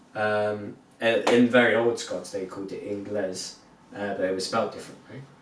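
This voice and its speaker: Against noticeable background noise and audible room echo, a man speaks at a moderate pace with a fairly low pitch and big swings in loudness. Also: fairly even intonation. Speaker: podcast co-host. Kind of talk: casual chat.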